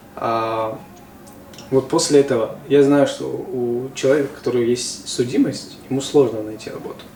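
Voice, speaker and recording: Amid noticeable background noise and audible room echo, a man speaks with fairly even intonation and big swings in loudness. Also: medium pitch for a man, moderate pace. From Tajikistan. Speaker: interviewer. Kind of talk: casual interview.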